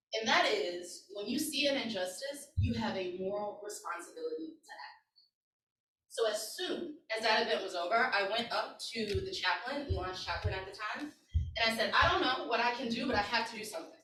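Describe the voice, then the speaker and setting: A woman speaks at a fairly high pitch with very wide pitch swings and big swings in loudness, her tone bright, sharp and animated. Room echo is audible. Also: fairly quick pace. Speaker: community organizer and workshop leader. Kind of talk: workshop presentation.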